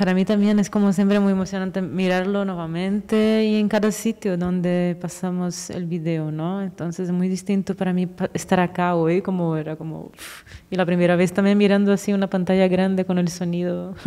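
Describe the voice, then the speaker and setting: A woman's dark, mellow voice, monotone and flat, with hardly any pauses. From Brazil. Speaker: filmmaker. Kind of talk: post-screening film talk. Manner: hesitant, searching for words.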